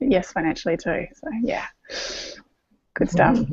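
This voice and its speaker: Against a quiet background, a woman with an Australian accent and a fairly high pitch speaks at a moderate pace, with a dry, close sound and no echo. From Australia (east coast). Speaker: naturopath and singer-songwriter. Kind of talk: panel video chat. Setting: video call.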